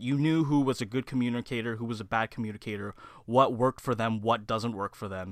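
In an ordinary speaking voice, a man with a Canadian accent talks at a fairly quick pace and medium pitch with ordinary pitch variation, in a very clean recording with a silent background and a dry, close sound with no echo. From Canada, Mississauga (Ontario). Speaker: public relations student. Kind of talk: interview.

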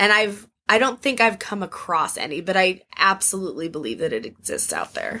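Animated and bright, a woman's sharp-toned voice has vocal fry and lively intonation. She speaks with hardly any pauses. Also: medium pitch for a woman, moderate pace. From Arizona, US Southwest. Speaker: tour guide. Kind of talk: casual interview with storytelling.

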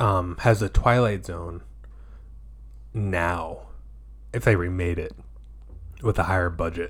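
A somewhat breathy voice with lively intonation speaks at a fairly slow pace, leaving long, frequent pauses. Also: man, very deep, low pitch for a man. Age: 30s. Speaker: podcast host. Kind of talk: casual chat.

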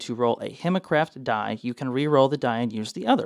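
In a very clean recording with a silent background, a man speaks very fast at medium pitch with ordinary pitch variation. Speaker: tabletop RPG podcast host. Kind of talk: casual chat, informal breakdown. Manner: fast talker; animated, profane, rambling.

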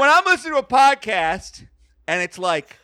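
A man's animated voice at a moderate pace, with a dry, close sound and no echo. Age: 30s. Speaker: podcaster. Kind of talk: casual chat.

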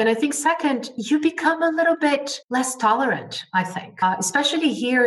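A woman talks at a moderate pace with lively intonation over noticeable background noise. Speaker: trade expert. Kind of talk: interview.

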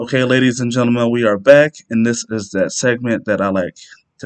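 Dry and close with no echo, a man speaks at medium pitch. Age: 30s. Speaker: podcaster. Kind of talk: solo podcast monologue, casual. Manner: monotone.

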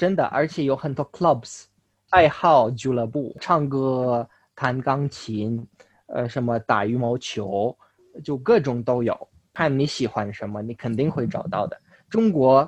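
In a dry, close sound with no echo, a man at medium pitch speaks at a very slow pace with ordinary pitch variation. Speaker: Chinese learner. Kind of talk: interview. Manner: halting.

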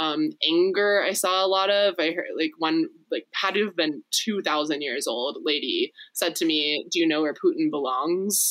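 A woman's normal speaking voice, fairly low in pitch, with ordinary pitch variation, a fairly slow pace and an American accent. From Texas. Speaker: refugee center volunteer. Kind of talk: casual chat.

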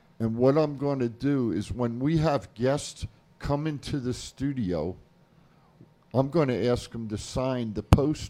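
A man with a New Jersey accent, medium in pitch, dark and mellow in tone, with ordinary pitch variation at a fairly slow pace. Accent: New Jersey American. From New Jersey, US. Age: 60s. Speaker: wrestling show co-host. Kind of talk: casual sports talk radio. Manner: animated.

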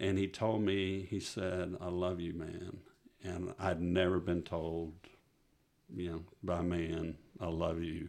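A man speaks very slowly with a West Texas accent. His very deep, low voice stays monotone and flat. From West Texas (Midland). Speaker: pastor. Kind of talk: testimony. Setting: studio.

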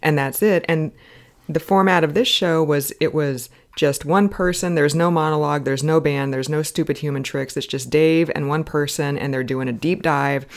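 The recording is very clean, with a silent background. Words come at a moderate pace. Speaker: podcast co-host. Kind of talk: casual chat. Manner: talkative.

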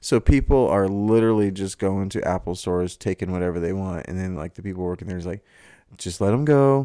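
On a very clean recording with a silent background, a man with a fairly low pitch and a dark, mellow tone talks at a fairly quick pace with ordinary pitch variation. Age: 30s. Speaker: podcast co-host. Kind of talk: casual chat.

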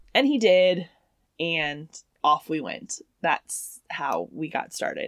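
In a Southern US accent, a woman speaks at a very slow pace. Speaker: podcast co-host. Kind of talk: casual chat.

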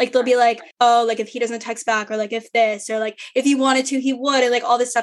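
A woman with a fairly high pitch speaks at a fairly quick pace. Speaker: law student and podcast host. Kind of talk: casual chat. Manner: loud, over the top.

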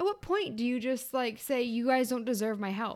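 On a very clean recording with a silent background, a woman in an ordinary speaking voice talks at a fairly quick pace and fairly high pitch. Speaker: podcast co-host. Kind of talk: casual chat.

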